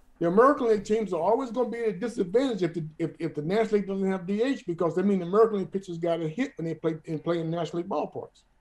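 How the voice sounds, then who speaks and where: This man's voice shows ordinary pitch variation. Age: 60s. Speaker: retired baseball player. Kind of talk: interview. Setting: video call. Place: home room. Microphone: video call.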